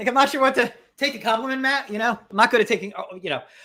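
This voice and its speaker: A man's raised, projected voice with a bright, sharp tone. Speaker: podcast co-host. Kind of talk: casual chat. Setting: livestream. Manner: loud, hyper; halting, many restarts.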